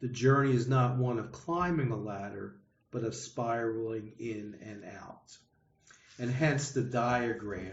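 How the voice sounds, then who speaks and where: With audible room echo around him, a man of medium pitch speaks at a fairly slow pace, somewhat breathy, with ordinary pitch variation. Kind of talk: adult education class discussion. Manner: halting, many repetitions and fillers; slow, deliberate.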